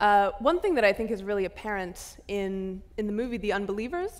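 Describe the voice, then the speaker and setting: Woman, moderate pace. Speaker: moderator. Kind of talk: interview question. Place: stage. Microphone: headset.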